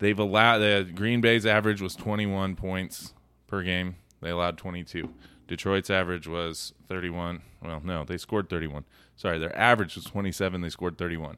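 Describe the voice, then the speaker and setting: A man talks at a fairly quick pace in a very deep, low voice with a bright, sharp tone. His intonation stays fairly even, and the recording is very clean with a silent background. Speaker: guest. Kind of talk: casual chat.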